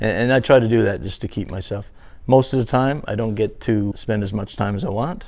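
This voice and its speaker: A man with a slight Newfoundland accent at a fairly quick pace, medium pitch and ordinary pitch variation. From Newfoundland, Canada. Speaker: interviewee. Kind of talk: casual interview.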